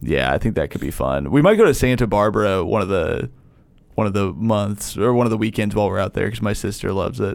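Very fast speech with vocal fry and lively intonation. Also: man, fairly low pitch for a man. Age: 30s. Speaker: comedian. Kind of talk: casual chat.

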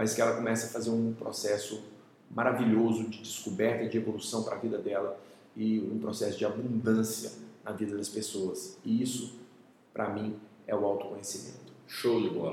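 A man speaking at medium pitch keeps a fairly even intonation, with audible room echo around him. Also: moderate pace. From Brazil, Minas Gerais and Cuiabá. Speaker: NLP trainer and coach. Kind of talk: interview conversation.

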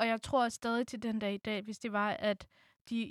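A woman with a fairly high voice speaks in a flat monotone. The recording is very clean, dry and close, with a silent background and no echo. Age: 20s. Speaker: student. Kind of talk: personal interview.

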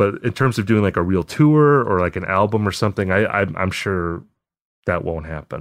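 This man has an unremarkable speaking voice with an American accent and lively intonation. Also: fairly low pitch for a man, moderate pace, quiet background. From Wisconsin, Appleton. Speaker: music writer. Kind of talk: casual chat. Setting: remote call.

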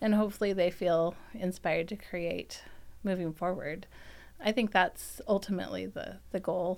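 The speaker has an American accent and vocal fry. The pace is moderate and the intonation fairly even. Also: woman, medium pitch for a woman. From Virginia. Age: 40s. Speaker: bookstore owner. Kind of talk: casual interview. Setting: studio.

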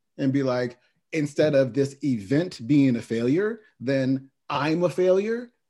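Against a quiet background, a man with an American accent has a fairly high pitch, a dark, mellow tone and ordinary pitch variation. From Oakland, California. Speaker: podcast host and mindset coach. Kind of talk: interview.

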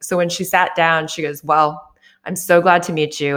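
A woman with an American accent speaks in a plain, everyday voice, fairly low in pitch and at a fairly quick pace, on a very clean recording with a silent background. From Chicago, US Midwest. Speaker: business owner and CEO. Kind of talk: interview.

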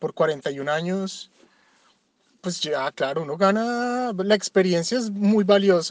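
A man talks in a high voice. The recording is dry and close, without any echo. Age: 40s. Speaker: father, podcast interviewee. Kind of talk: reflective monologue answer.

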